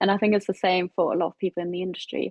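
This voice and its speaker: A woman speaks with a German accent. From Germany, Hamburg. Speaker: digital PR executive. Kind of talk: casual interview.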